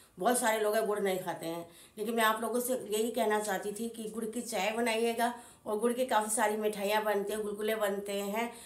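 Against noticeable background noise, a woman with a fairly high voice speaks at a moderate pace in a monotone, flat intonation. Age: 50s. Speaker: home cook. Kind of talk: casual talk to camera.

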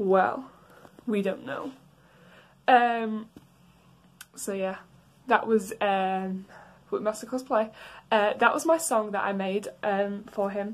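A woman speaks at a medium pitch with fairly even intonation. Her pace is slow, with long, frequent pauses.

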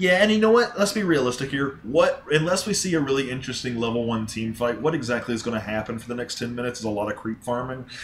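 Amid noticeable background noise, a medium-pitched man talks at a very fast pace with lively intonation and hardly any pauses. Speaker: game shoutcaster / commentator. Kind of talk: live esports-style game commentary.

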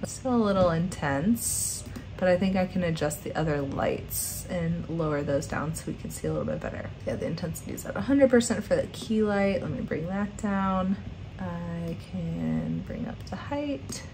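A woman in a relaxed tone at a moderate pace, with noticeable background noise. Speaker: graphic design instructor. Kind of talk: software tutorial narration. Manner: casual, relaxed. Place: home room.

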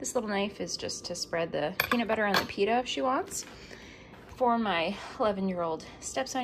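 A woman's lively intonation comes through at a moderate pace despite noticeable background noise. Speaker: vlogger and teacher. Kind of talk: casual vlog narration. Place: kitchen. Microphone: phone near.

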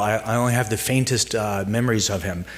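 In an ordinary speaking voice, a man talks at a moderate pace with fairly even intonation. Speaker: speaker. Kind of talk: introductory speech with anecdotes. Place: hall. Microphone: podium.

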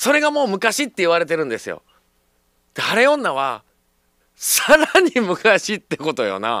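A man with a Kansai accent, high-pitched for a man, in a bright, sharp tone and raised, projected voice, animated and full of very wide pitch swings, at a fairly slow pace, with dry sound with no echo and a quiet background. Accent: Kansai Japanese. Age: 40s. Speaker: radio host. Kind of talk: live radio talk. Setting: radio studio. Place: studio. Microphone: studio mic.

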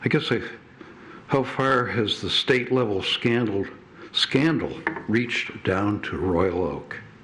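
Heard at a fairly slow pace, a man speaks at a medium pitch with ordinary pitch variation. Audible room echo and noticeable background noise accompany him. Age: 80s+. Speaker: public commenter at city meeting. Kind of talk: public comment speech. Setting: city council chamber. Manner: halting.

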